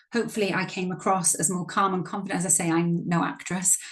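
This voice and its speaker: With fairly even intonation, a woman speaks at a medium pitch amid noticeable background noise and audible room echo. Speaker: workshop facilitator and coach. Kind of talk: training workshop presentation. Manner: fast.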